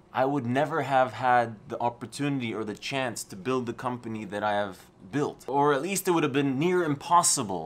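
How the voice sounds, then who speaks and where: At a moderate pace and medium pitch, a man speaks with lively intonation. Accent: American. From Poland. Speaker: entrepreneur and motivational YouTuber. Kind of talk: vlog talking to camera.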